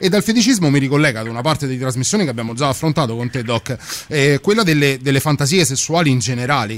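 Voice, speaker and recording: A man uses a normal speaking voice at a fairly high pitch, with lively intonation. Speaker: radio co-host. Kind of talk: late-night radio chat. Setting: studio.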